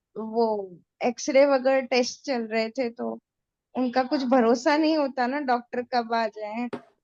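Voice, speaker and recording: Recorded dry and close with no echo, a woman speaks in a high pitch with fairly even intonation. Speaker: hospitalized patient joining meditation session. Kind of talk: casual chat. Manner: halting.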